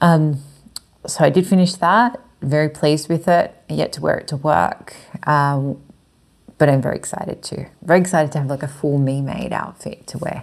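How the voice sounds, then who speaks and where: A woman with an Australian accent speaks at a moderate pace in a very deep, low pitch, with ordinary pitch variation against a quiet background. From Chile. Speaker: knitting and sewing vlogger; sewing vlogger. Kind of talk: casual monologue. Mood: warm, pleased. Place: home room. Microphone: lapel.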